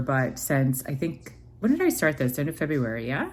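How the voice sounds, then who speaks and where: A woman talks at a moderate pace. Her pitch is very deep and low. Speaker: vlogger. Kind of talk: casual vlog. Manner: hesitant, many fillers.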